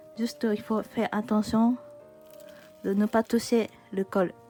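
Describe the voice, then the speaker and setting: Music plays in the background as a woman speaks very slowly in a fairly high voice. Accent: Japanese. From Japan. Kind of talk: craft tutorial talk to camera. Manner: casual, hesitant.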